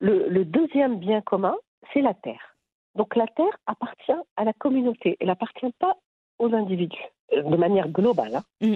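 The speaker is a woman going at a moderate pace. Her pitch rises and falls very widely. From Morocco, Agadir. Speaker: rural heritage project founder. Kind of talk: interview. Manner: halting.

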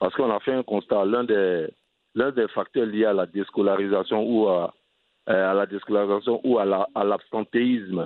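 A man with a normal speaking voice talks at a fairly low pitch. His pace is moderate and his intonation fairly even. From Côte d'Ivoire, Abidjan. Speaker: entrepreneur and NGO head. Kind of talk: interview.

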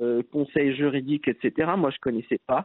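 A man's voice at a fairly high pitch. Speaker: entrepreneur. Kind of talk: interview. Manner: halting.

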